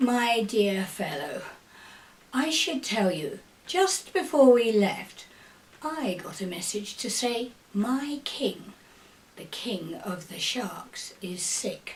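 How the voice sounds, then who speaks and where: A woman puts on a character voice at a fairly high pitch, speaking at a very slow pace with long, frequent pauses. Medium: read story. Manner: falsely polite.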